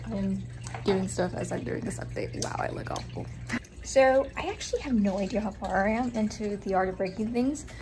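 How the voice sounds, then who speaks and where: A woman speaks at a moderate speed while noticeable background noise plays underneath. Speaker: book youtuber. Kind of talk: casual vlog.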